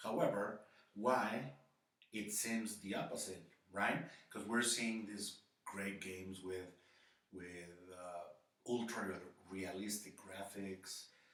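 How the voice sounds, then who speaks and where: At a very slow pace with long, frequent pauses, the voice keeps fairly even intonation amid audible room echo. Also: man, fairly low pitch for a man. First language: not English. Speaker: gaming YouTuber. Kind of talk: opinion monologue. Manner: hesitant, with fillers.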